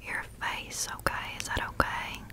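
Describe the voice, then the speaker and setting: A woman whispers. Her pace is fairly slow. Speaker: ASMR creator. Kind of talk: soft ASMR whisper talk. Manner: soft, hushed close-mic ASMR voice. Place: home room. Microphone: studio mic.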